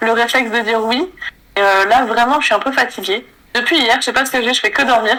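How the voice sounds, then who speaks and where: This woman talks fairly quickly in a high voice, her intonation fairly even and her loudness very even. Noticeable background noise runs under the recording. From Asia, notably Taiwan. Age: 30s. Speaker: illustrator and content creator. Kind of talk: casual interview chat.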